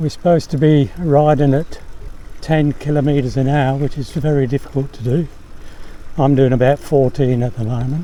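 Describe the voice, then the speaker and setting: A man with an Australian accent, fairly high pitch, fairly even intonation and a moderate pace. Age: 70s. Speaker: e-bike vlogger. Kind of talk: casual vlog narration. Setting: outdoors, riding a bike.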